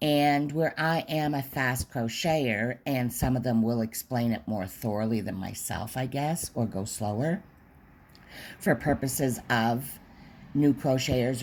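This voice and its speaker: Speaking at a fairly slow pace, a woman uses lively intonation with a very deep, low pitch. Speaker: crochet tutorial maker. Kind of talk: tutorial.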